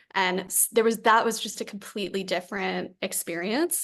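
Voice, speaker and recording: A woman speaks with a New Jersey accent and vocal fry at a moderate pace. Her pitch varies in an ordinary way against a quiet background. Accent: American, New Jersey. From US Northeast, Fort Lee, New Jersey. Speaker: company founder. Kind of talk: podcast interview.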